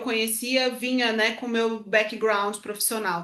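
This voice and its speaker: At a fairly slow pace, a woman speaks with a bright, sharp tone. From Brazil. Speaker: podcast co-host, former fashion professional. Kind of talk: casual conversation.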